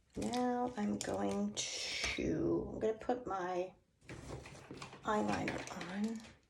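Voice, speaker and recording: Amid noticeable background noise and audible room echo, a woman speaks very slowly with long, frequent pauses. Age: 60s. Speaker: beauty vlogger. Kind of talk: tutorial. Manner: casual, chatty.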